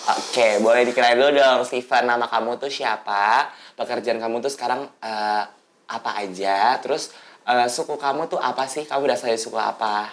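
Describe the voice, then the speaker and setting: At a fairly quick pace, a woman with a very deep, low pitch speaks with fairly even intonation. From Manado, North Sulawesi. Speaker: student podcast host. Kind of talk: explanatory lecture; casual chat. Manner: hesitant, many fillers.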